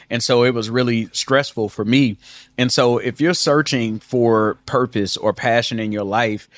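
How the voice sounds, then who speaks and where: Moderate in pace and fairly even in intonation, this is a plain, everyday voice. The sound is dry and close with no echo, on a very clean recording with a silent background. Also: man. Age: 40s. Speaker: marriage podcast co-host. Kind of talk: casual chat.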